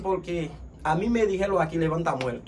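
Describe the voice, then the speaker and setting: A man with a Haitian accent at a moderate pace. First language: Haitian Creole (speaking Spanish). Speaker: vodou priest. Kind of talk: interview. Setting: his spiritual center, at night. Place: home room. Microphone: phone near.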